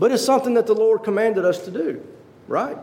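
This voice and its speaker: Audible room echo surrounds a man talking at a high pitch. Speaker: lay preacher. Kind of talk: sermon. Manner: fast.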